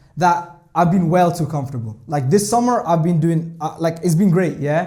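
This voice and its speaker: A dark, mellow voice in a Scottish accent, with ordinary pitch variation, a moderate pace and audible room echo. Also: man. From Scotland. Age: 20s. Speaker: trader and vlogger. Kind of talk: vlog monologue. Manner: animated, filler-heavy.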